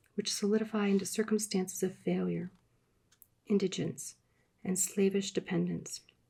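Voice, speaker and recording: A soft-spoken, somewhat breathy woman's voice with a dark, mellow tone, medium pitch, and moderate pace. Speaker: ASMR reader. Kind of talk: audiobook reading. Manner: soft-spoken, quiet.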